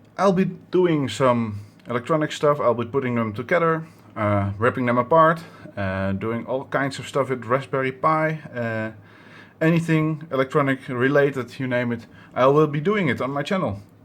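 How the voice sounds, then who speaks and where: A man's medium-pitched voice with a Dutch accent. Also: ordinary pitch variation, moderate pace. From Netherlands. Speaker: electronics hobbyist YouTuber. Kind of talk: tutorial. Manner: halting, many fillers.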